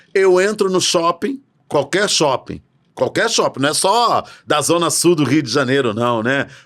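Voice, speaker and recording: A man's animated voice with lively intonation at a moderate pace, on a very clean recording with a silent background. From Brazil. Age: 60s. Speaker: educator on racial literacy. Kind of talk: podcast interview.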